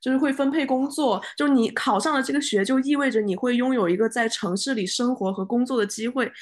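A woman talks with a high pitch and ordinary pitch variation. Her pace is fairly quick, with hardly any pauses. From Guangzhou. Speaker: podcast host. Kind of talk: casual chat. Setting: studio, in person with co-hosts.

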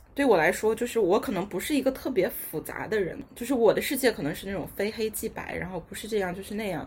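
A woman races along at a very fast pace with hardly any pauses, fairly high pitch, lively intonation and big swings in loudness. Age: 20s. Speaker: young office worker. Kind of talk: casual chat.

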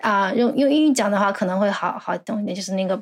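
Pitched medium, this woman's voice is a normal speaking voice. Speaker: graduate student in Japanese-language education. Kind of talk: casual interview.

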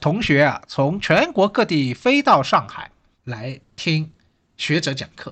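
A man in a plain, everyday voice talks at a fairly slow pace with lively intonation over a quiet background. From Shanghai. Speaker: history professor. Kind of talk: solo podcast talk.

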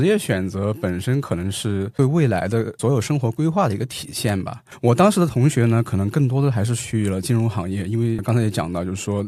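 An ordinary speaking voice from a man, medium in pitch with ordinary variation, at a fairly quick pace. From Xinjiang, China. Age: 30s. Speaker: economics professor. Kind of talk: casual interview. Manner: frequent filler particles.

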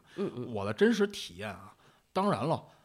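A man speaks in a strong Beijing accent at a fairly quick pace with ordinary pitch variation. The recording is very clean, with a silent background. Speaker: Buddhist monk. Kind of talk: casual chat. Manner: vivid storyteller's delivery; fast Beijing banter.

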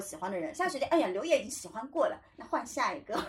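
This woman's voice swings very widely in pitch. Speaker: podcast host. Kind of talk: casual chat.

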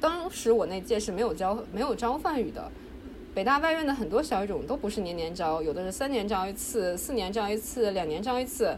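A woman talks at a fairly quick clip, her fairly high voice leaping across a very wide pitch range. Noticeable background noise and audible room echo surround her. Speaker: PhD student in religious studies. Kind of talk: casual interview.

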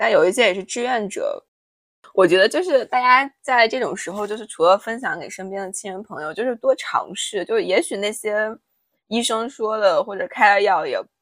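Set against a silent background in a very clean recording, a woman with an ordinary speaking voice talks at a moderate pace in a fairly high pitch with lively intonation. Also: big swings in loudness. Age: 20s. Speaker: podcast co-host. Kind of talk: casual chat.

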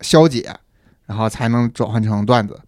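A man with a normal speaking voice talks at medium pitch and a moderate pace. The recording is very clean, the background silent. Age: middle-aged. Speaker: internet product manager. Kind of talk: casual chat.

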